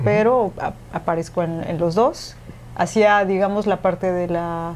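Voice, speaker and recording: Her voice plain, everyday voice aside, a woman speaks at a fairly slow pace with a fairly low pitch and ordinary pitch variation. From Mexico. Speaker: radio presenter and podcaster. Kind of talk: interview conversation.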